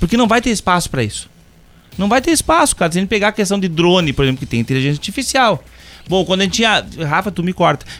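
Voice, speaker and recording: At a very fast pace, a high-pitched man speaks with very wide pitch swings. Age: 50s. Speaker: university professor of computing. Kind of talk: casual podcast chat.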